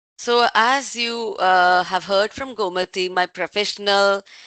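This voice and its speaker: A woman's bright, sharp voice with a Tamil Indian accent, dry and close with no echo, over a quiet background. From southern India, Tamil Nadu (Pollachi). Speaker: tech industry leader. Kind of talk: online talk session.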